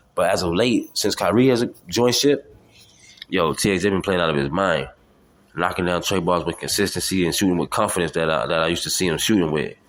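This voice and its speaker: Very deep and low in pitch, a man talks at a fairly quick pace in an animated tone with ordinary pitch variation, on a very clean recording with a silent background. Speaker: podcast host. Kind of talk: solo sports talk podcast. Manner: fast; animated, repetitive stammering.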